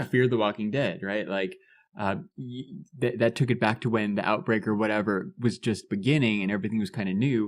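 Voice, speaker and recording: A man speaks quickly in a normal speaking voice, fairly low in pitch with ordinary pitch variation, against a quiet background. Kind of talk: podcast conversation.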